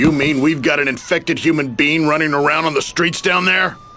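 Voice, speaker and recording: Over clear background noise, a man with a fairly high pitch growls in a put-on character voice at a fairly quick pace, his intonation fairly even. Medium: cartoon. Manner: gruff, coarse.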